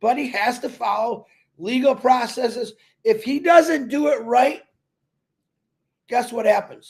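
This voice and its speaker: Loud and animated, the speaker moves at a fairly slow pace with long, frequent pauses and ordinary pitch variation. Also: man, extremely high pitch for a man. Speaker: online business promoter. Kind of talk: casual livestream chat.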